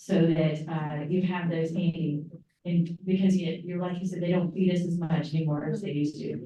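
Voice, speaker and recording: The voice carries a Southern US accent. Room echo is audible. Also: woman. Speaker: trip organizer leading a group meeting. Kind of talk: group meeting, casual icebreakers.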